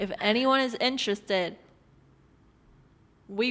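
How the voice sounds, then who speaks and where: On a very clean recording with a silent background, a woman talks at a fairly slow pace with ordinary pitch variation. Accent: non-native. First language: not English. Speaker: podcast co-host, design business owner. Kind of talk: casual chat.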